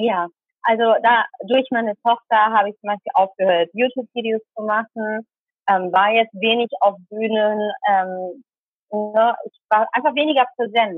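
Speaking at a fairly slow pace, a woman has an unremarkable speaking voice, a fairly high pitch and ordinary pitch variation. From Germany, Tamil Sri Lankan family. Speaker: speaker and volunteer crew manager. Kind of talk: interview. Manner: many filler sounds.

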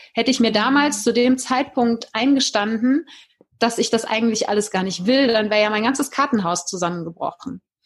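This is a woman with a plain, everyday voice. Her pitch is fairly high, her pace moderate, and her pitch variation ordinary. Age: 40s. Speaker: life coach. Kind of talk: interview.

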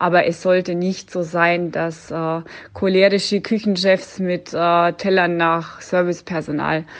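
A woman's fairly low voice, an ordinary speaking voice, with fairly even intonation against a quiet background. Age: 30s. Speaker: hotel-restaurant owner. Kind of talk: interview answer.

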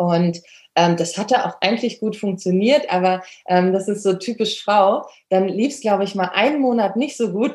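A woman at a medium pitch, moderate pace and ordinary pitch variation. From Germany. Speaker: dog trainer and photographer. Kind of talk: interview. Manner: hesitant, many fillers.

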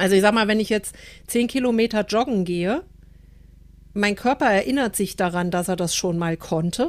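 The recording is very clean, with a silent background. A woman speaks at a moderate pace with ordinary pitch variation and long, frequent pauses. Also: medium pitch for a woman. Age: 50s. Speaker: podcast co-host. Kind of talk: casual chat.

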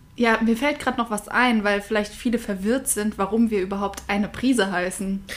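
Over noticeable background noise, a woman speaks fairly quickly with hardly any pauses, her pitch fairly high and her intonation fairly even. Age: 20s. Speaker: podcast co-host, university student. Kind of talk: casual chat.

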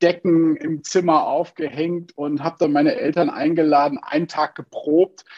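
A man speaks at a moderate pace with a fairly high pitch. His pitch varies in an ordinary way. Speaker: actor and speech coach. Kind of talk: interview. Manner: talkative.

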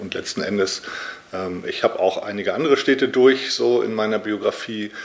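The speaker is a man. He talks at a moderate pace. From northern Germany, Lübeck. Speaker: author and publisher. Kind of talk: interview. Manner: halting, frequent filler sounds.

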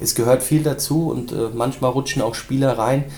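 Fairly even male intonation amid noticeable background noise. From Germany, Rhein-Main area (Hesse). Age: 20s. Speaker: former footballer, scout and assistant coach. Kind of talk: podcast interview.

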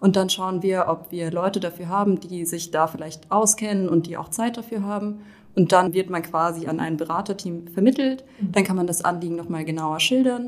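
A woman talks at a moderate pace and medium pitch, with ordinary pitch variation. She has an ordinary speaking voice. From Rhineland-Palatinate, Germany. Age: 20s. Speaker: law student. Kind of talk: casual interview.

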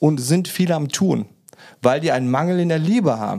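A man's dark, mellow tone at a fairly high pitch, with lively intonation and a moderate pace. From Germany. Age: 40s. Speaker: podcast guest sharing life story. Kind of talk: personal testimony in casual interview. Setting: video call.

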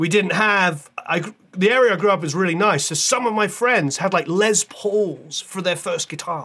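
A raised, projected voice with a British accent, bright and sharp in tone, with hardly any pauses. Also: man, high pitch for a man, ordinary pitch variation, moderate pace. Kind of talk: casual interview chat.

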